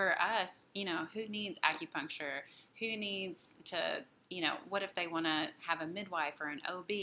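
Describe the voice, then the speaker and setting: This woman has a normal speaking voice with an American accent, medium pitch, ordinary pitch variation and a moderate pace. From US South, western Tennessee. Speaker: pelvic health physical therapist. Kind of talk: casual interview.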